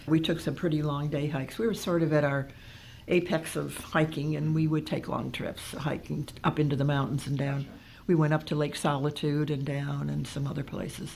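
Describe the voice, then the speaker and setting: Delivered at a moderate pace with fairly even intonation, the voice carries vocal fry. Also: woman, very deep, low pitch for a woman. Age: 80s+. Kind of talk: interview answer.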